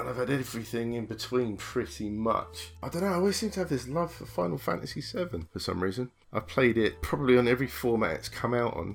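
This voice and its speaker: Over noticeable background noise, a man with a British accent talks at a very fast pace with hardly any pauses, using a medium pitch with very wide swings. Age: 40s. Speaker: gamer. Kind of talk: casual chat.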